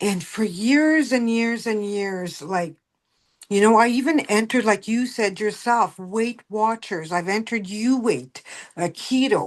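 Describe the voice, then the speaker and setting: In a French-Canadian accent, a woman speaks at a fairly slow pace and fairly high pitch, with ordinary pitch variation and a quiet background. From Manitoba, Canada (French-speaking). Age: 60s. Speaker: wellness business guest. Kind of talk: testimony.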